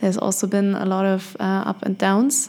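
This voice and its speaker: Her tone dark and mellow, a woman speaks at a medium pitch and a fairly slow pace. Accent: German. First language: German. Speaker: podcast host and life coach. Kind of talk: solo podcast monologue. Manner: hesitant, many fillers.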